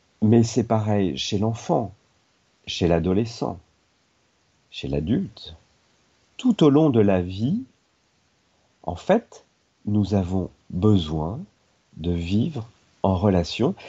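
Long, frequent pauses break up this man's very slow delivery, his fairly low voice carrying lively intonation. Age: 50s. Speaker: personal development trainer and teacher. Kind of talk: radio talk.

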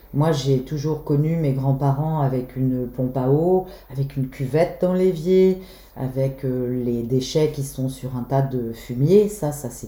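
Noticeable background noise runs beneath speech delivered at a very slow pace. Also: woman. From Brittany, Belle-Île. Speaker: holiday rental owner. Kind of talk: interview.

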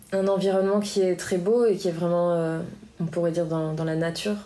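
Using an ordinary speaking voice, a woman of medium pitch talks at a moderate pace with fairly even intonation. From France, Biarritz. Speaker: musician and professional surfer. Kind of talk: interview. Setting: association office.

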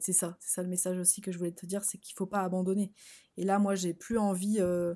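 A woman talks at a fairly quick pace and medium pitch in a flat monotone, on a very clean recording with a silent background. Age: 30s. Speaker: wellness coach and podcast host. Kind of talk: solo podcast monologue. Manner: hesitant, many fillers.

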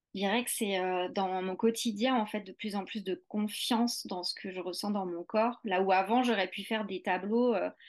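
Against a quiet background, a woman talks at a moderate pace in a medium pitch with fairly even intonation. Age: 40s. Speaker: English teacher and movement practice teacher. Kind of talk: interview. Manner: halting.

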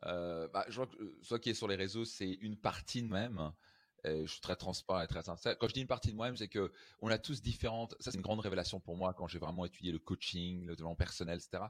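Over a very clean, silent background, a man with a very deep, low pitch speaks at a very fast pace in an animated tone with ordinary pitch variation. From France, Strasbourg (Alsace). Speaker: life coach and seminar speaker. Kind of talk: interview conversation.

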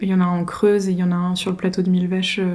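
A woman's voice has a dark, mellow tone and a medium pitch. It sounds somewhat breathy. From Paris region (Yvelines), France. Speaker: rural queer collective member. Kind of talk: casual conversation. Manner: hesitant, many fillers.

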